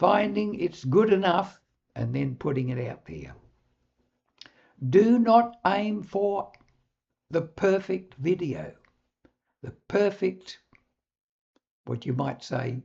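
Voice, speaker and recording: Speaking very slowly with long, frequent pauses, a man with a New Zealand accent uses a high pitch and lively intonation. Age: 80s+. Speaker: public speaking coach. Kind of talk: direct-to-camera talk.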